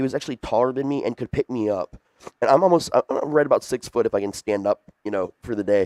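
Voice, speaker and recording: Over a quiet background, a man speaks at a very fast pace, medium in pitch with ordinary pitch variation. The sound is dry and close, with no echo. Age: 40s. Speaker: podcast co-host. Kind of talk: casual chat.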